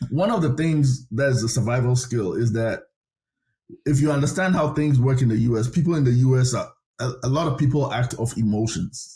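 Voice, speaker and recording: Somewhat breathy, with a dark, mellow tone, a man of medium pitch speaks at a fairly quick pace with very even loudness. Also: ordinary pitch variation. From Ghana. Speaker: government chief of staff. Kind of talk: interview.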